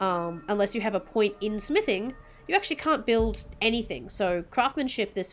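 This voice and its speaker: A woman's medium-pitched voice has lively intonation. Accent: Australian. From Australia. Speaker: VTuber game streamer. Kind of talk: casual gameplay commentary.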